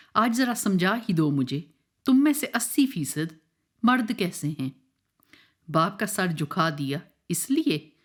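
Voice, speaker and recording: A woman with a Pahari accent, somewhat breathy, at medium pitch with very wide pitch swings and long, frequent pauses, on a very clean recording with a silent background. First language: Pahari (speaking Hindi). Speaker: spoken word poet. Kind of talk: poetry reading.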